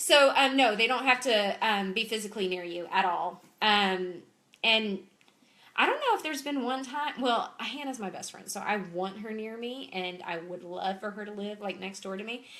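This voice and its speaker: Animated in tone, a woman with a Southern US accent talks at a fairly high pitch with ordinary pitch variation. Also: moderate pace, big swings in loudness. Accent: Southern US (Georgia). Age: 30s. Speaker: clothing sales consultant. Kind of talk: live-streamed Q&A. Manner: animated, chatty.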